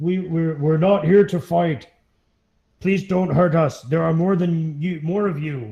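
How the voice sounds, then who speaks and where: Loud and pitched high, a man uses a put-on character voice at a fairly slow pace. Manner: pleading, peaceful.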